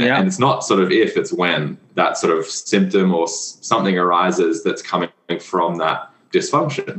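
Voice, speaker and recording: A man speaks with an Australian accent at a moderate pace. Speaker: physiotherapist and breathwork instructor. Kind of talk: casual interview.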